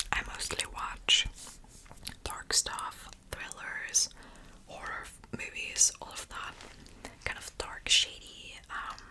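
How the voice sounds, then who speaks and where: Someone whispers at a very slow pace with long, frequent pauses. Noticeable background noise sits behind the whisper. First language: German. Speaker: ASMR youtuber. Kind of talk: whisper ramble. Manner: whispering; halting.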